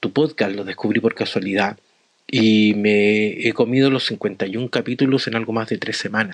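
Fairly low and fairly even, a man's voice moves at a fairly slow pace. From Chile. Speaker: adult education teacher. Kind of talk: recorded voice message.

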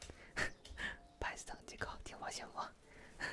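A man is whispering. He goes at a very slow pace. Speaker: livestream host, ASMR streamer. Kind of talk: casual livestream chat with viewers. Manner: soft close-mic ASMR talking voice. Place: home room. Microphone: studio mic.

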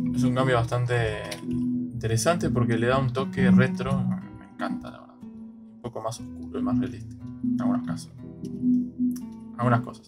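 A man with an Argentine accent speaks at a moderate pace over music in the background, his loudness swinging widely. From Argentina. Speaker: gaming streamer. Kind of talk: casual gameplay commentary. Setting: poor microphone audio.

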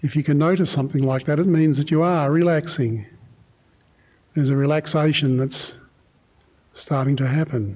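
A man with an Australian accent sounds somewhat breathy, with ordinary pitch variation and very even loudness. He keeps a moderate pace with long, frequent pauses against a quiet background. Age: 70s. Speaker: meditation teacher. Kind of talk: guided meditation. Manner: halting. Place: hall. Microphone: studio mic.

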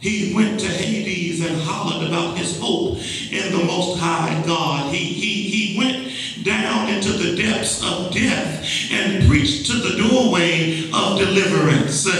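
The man's pitch is high, and he talks at a fairly slow pace with ordinary pitch variation. Strong echo fills the room. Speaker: preacher. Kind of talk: sermon. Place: church.

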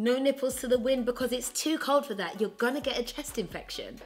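High-pitched female voice with ordinary pitch variation and faint music in the background. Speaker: fashion vlogger. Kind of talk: casual vlog chat. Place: home room.

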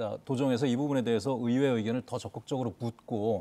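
His tone is dark and mellow. The man speaks very fast. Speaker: current affairs TV host. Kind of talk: TV current affairs discussion. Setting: studio. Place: studio. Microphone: lapel.

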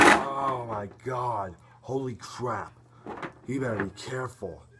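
Very slow speech over noticeable background noise. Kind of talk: live wrestling play-by-play commentary over a video game match. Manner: animated, gasping and laughing, increasingly shocked.

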